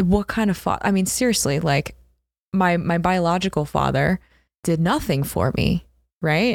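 A woman with an American accent speaks at a fairly low pitch with vocal fry. Her loudness stays very even. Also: ordinary pitch variation, moderate pace. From US Northeast (South Jersey, Philadelphia area). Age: 20s. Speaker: entrepreneur, founder of a tech company. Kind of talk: casual interview. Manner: casual, filler-heavy with frequent laughter.

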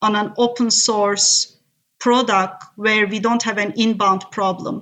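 Her pitch fairly high and her intonation fairly even, a woman speaks at a very slow pace. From Turkey. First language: Turkish. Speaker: tech executive. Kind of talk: interview. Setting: remote call.

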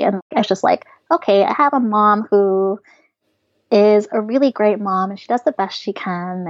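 Fairly slow in pace, a woman with an unremarkable speaking voice talks at a medium pitch with ordinary pitch variation. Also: dry, close sound with no echo. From US, small town. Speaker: anonymous personal finance blogger. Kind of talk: casual interview.

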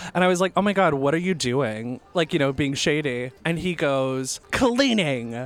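Moderately paced speech from a man, fairly high in pitch, with ordinary variation in tone. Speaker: podcast co-host. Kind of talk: casual chat. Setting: on location at a bar. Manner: animated.

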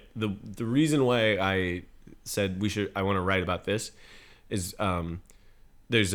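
In a very clean recording with a silent background, a man with a plain, everyday voice and a fairly low pitch talks at a moderate pace with fairly even intonation. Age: 20s. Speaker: rock band vocalist and musician. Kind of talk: casual interview.

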